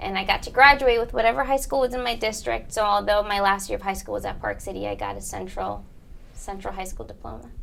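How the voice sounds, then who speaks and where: A woman speaks with a Spanish accent. Her pace is very fast. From Bridgeport, Connecticut. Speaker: college counselor. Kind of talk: interview.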